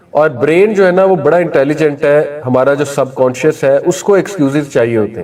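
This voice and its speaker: A man speaks in a plain, everyday voice pitched fairly high. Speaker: Islamic preacher. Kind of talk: Islamic sermon (bayan) to an audience. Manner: conversational, explanatory, mixes Urdu with many English words.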